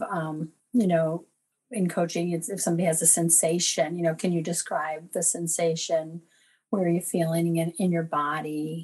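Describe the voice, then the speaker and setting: A woman with a fairly low, somewhat breathy voice keeps fairly even intonation at a moderate pace. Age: 50s. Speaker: caller with cancer diagnosis. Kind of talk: personal testimony in coaching call. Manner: hesitant with fillers.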